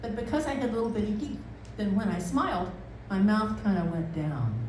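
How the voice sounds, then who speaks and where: A woman talks very fast at a fairly high pitch with lively intonation, amid audible room echo and noticeable background noise. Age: 70s. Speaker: storyteller. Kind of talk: live storytelling. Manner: halting.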